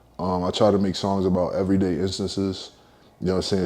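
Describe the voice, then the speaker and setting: The voice moves at a very fast pace with a dark, mellow tone. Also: man. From Philadelphia, US. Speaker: rapper. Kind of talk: interview. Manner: casual, filler-heavy.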